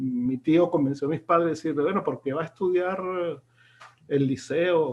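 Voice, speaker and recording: A man talks at a fairly quick pace with fairly even intonation. His pitch sits fairly high. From Venezuela, then Italy from age 13. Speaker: film expert and short film maker. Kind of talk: interview conversation. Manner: halting, many repetitions.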